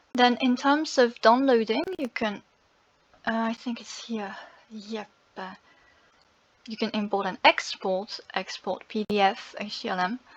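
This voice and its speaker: Pausing long and often, a woman with a fairly high pitch speaks at a fairly slow pace with ordinary pitch variation. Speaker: content creator and linguist. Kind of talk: screen-share tutorial. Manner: halting, many fillers. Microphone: poor sound quality.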